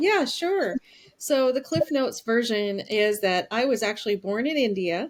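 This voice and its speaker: A woman with an American accent speaks at a moderate pace in a fairly high voice, her intonation lively. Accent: slight Southern US, comes out occasionally. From US Deep South, Alabama. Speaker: author and public health professional. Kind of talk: interview conversation.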